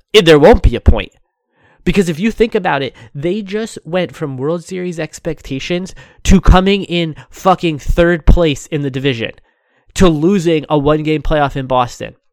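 A man with an ordinary speaking voice talks at a fairly high pitch with ordinary pitch variation. The recording is very clean and silent in the background, with a dry, close sound and no echo. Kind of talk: furious sports-talk rant, scathing and profane, hammering the team's failures.

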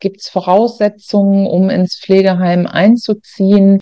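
A woman's dark, mellow, medium-pitched voice at a fairly slow pace, in a dry, close sound with no echo. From Germany, Ruhr area (North Rhine-Westphalia). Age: 50s. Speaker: nursing home manager and author. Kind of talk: interview.

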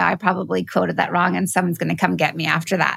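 A woman is speaking. Her voice carries vocal fry. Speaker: podcast host. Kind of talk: casual interview. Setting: studio.

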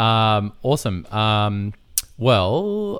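An Australian-accented man on a very clean recording with a silent background. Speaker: podcast host, wedding photographer. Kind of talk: casual chat.

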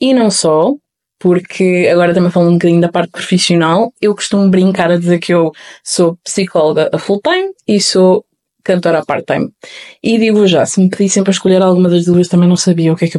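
Talking very fast, a woman with a European Portuguese accent keeps fairly even intonation in a dry, close sound with no echo. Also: very even loudness. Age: 20s. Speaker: podcast host. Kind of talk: solo podcast introduction.

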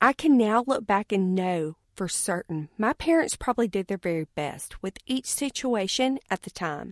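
In a Southern US accent, a woman at a medium pitch talks at a moderate pace with hardly any pauses and very wide pitch swings, recorded dry and close with no echo on a very clean recording with a silent background. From US South. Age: 30s. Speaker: podcast co-host, businesswoman. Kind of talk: personal monologue.

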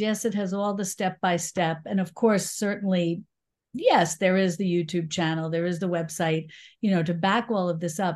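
Against a quiet background, a woman with a New York accent speaks at a moderate pace in a medium pitch with ordinary pitch variation. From New York City. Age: 60s. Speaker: YouTube cooking teacher and cookbook author. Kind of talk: interview. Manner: bubbly, fun energy.

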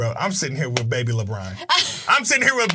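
A man with an American accent talks in a raised, projected voice. His pitch swings very widely while music plays in the background. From Oklahoma (Midwest City). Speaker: podcast host. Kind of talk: casual interview. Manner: animated.

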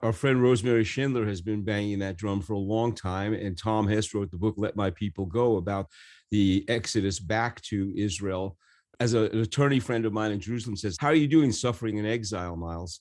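Against a quiet background, a man with an American accent and an ordinary speaking voice talks at a fairly quick pace and a fairly low pitch, with ordinary pitch variation. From New York City. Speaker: podcast host. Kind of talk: casual interview.

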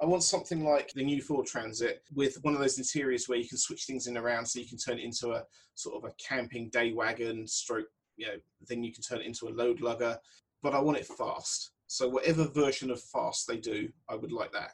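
A man talks at a fairly quick pace and medium pitch. His voice is somewhat breathy, with ordinary pitch variation. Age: 40s. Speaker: podcast guest. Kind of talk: casual chat.

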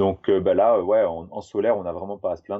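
A man talks at a fairly quick pace. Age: 30s. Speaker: tiny house builder, 3D graphic artist. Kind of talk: casual interview chat.

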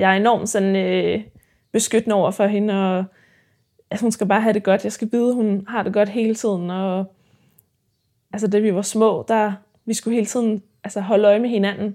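Her pitch is medium and her tone dark and mellow as this woman speaks at a moderate pace. Her intonation is monotone and flat, with long, frequent pauses. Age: 20s. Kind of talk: interview.

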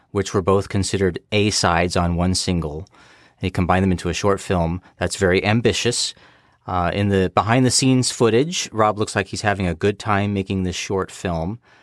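In a very clean recording with a silent background, a man with an American accent has an unremarkable speaking voice, fairly low in pitch. His intonation is fairly even, his pace moderate, and the sound dry and close with no echo. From United States. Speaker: guest fan. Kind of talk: casual chat.

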